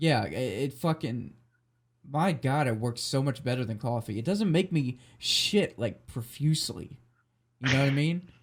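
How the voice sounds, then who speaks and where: At a moderate pace, a man with a fairly high, somewhat breathy voice speaks with lively intonation. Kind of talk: casual podcast talk.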